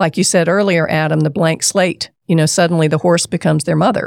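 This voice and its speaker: A woman with an American accent speaks at a fairly low pitch with vocal fry. Her fairly quick pace and fairly even intonation come through in a dry, close sound with no echo. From US South, South Carolina. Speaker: therapist and horse farm owner. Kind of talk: interview.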